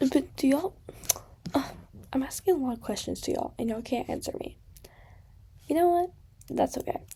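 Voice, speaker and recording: Long, frequent pauses in a fairly quick delivery, with a dark, mellow tone and lively intonation. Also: woman, high pitch for a woman. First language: not English. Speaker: gaming YouTuber. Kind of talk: casual chat. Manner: rambling, chatty.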